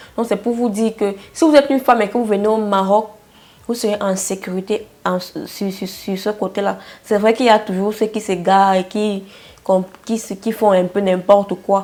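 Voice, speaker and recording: A woman's unremarkable speaking voice at medium pitch, with a moderate pace and fairly even intonation. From Cameroon. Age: 20s. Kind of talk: casual talk to camera.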